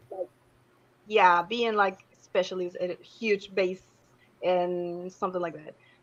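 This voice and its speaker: In a Spanish accent, a woman speaks at a medium pitch with monotone, flat intonation. Her pace is fairly slow, with long, frequent pauses. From Argentina. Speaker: singer. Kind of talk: interview.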